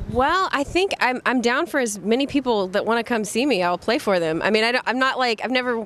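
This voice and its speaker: Fairly quick and lively in intonation, a woman speaks with a slight Southern accent and a fairly high pitch. Background noise is noticeable. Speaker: folk rock singer. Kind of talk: interview. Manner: casual, hesitant.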